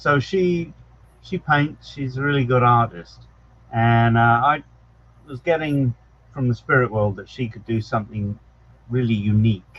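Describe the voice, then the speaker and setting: A man's medium-pitched voice at a fairly slow pace, ordinary pitch variation, big swings in loudness, and long, frequent pauses. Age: 60s. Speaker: psychic medium. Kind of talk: casual interview chat.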